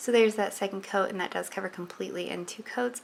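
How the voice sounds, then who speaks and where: A woman's medium-pitched voice with ordinary pitch variation, set against noticeable background noise. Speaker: nail polish reviewer. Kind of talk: product review tutorial.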